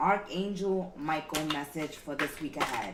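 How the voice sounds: A woman with a fairly low pitch speaks at a slow pace amid audible room echo.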